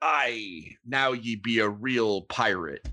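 Against a quiet background, a man with a medium pitch uses a raspy, put-on character voice at a very slow pace. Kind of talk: archaic pirate speech.

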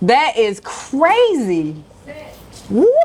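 A woman's voice with very wide pitch swings, set against noticeable background noise. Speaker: food vlogger. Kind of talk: casual chat. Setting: restaurant.

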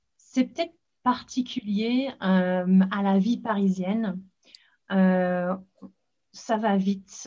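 A woman with a dark, mellow, somewhat breathy voice at medium pitch leaves long, frequent pauses. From northern England, Leeds (Yorkshire). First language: English (speaking French). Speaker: podcast host and English school founder. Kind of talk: casual chat.

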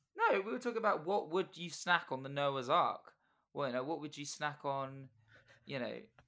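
This man has an unremarkable speaking voice pitched fairly high. He talks at a moderate pace with lively intonation. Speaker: podcast host. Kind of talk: casual chat. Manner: rambling, joking.

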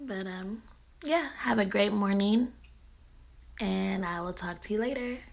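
With an American accent, a woman speaks at a medium pitch and a fairly slow pace, her intonation lively, with long, frequent pauses and audible room echo. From US West Coast, San Francisco Bay Area. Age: 20s. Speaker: social media voice blogger. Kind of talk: casual monologue. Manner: hesitant, with fillers.

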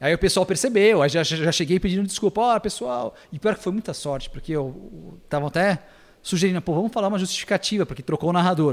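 On a very clean recording with a silent background, a man talks very fast in a high voice with ordinary pitch variation. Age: 30s. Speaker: sports commentator. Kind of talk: casual chat.

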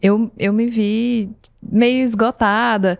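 A woman talks at a very slow pace in a very clean recording with a silent background. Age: 30s. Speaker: former fashion designer and marketer. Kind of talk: casual chat.

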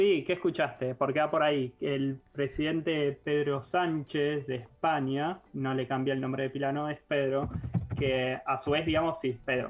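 Speaking slowly-ish with fairly even intonation, a man has an ordinary speaking voice and a fairly high pitch. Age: 30s. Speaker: radio co-host, columnist. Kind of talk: casual radio chat.

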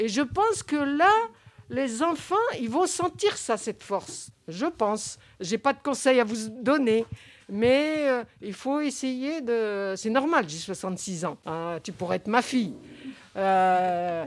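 A woman at a very slow pace, her fairly high pitch making very wide swings. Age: 60s. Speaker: grandmother and support group member. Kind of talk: group discussion. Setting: community center meeting.

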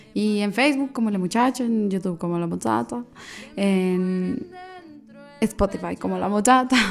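A woman speaks at medium pitch and a fairly slow pace with lively intonation. Long, frequent pauses and noticeable background noise run through the clip. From Colombia, Manizales. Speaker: singer-songwriter. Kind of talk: interview. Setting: radio studio.

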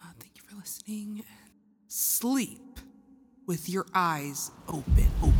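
This woman has a medium pitch. Her voice is somewhat breathy. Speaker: podcast co-host. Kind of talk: casual chat.

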